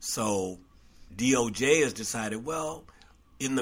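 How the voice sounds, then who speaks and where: Here a man is talking. He has an ordinary speaking voice. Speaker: podcast co-host. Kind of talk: casual political discussion.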